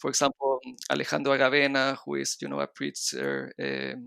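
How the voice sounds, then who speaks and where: In a very clean recording with a silent background, a man speaks at a moderate pace, the sound dry and close with no echo. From Chile. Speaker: designer and architect. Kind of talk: podcast interview. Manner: hesitant, many fillers.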